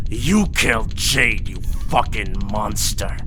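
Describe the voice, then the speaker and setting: Over loud background noise, a man does a growling, put-on character voice at a very slow pace. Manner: livid, furious howl.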